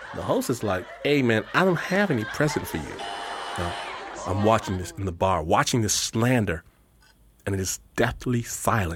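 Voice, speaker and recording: The speaker has an American accent and an animated tone with lively intonation, at a moderate pace. Long, frequent pauses break up the speech, and there is noticeable background noise. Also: man, fairly low pitch for a man. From US Midwest, Detroit. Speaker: radio host. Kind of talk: storytelling.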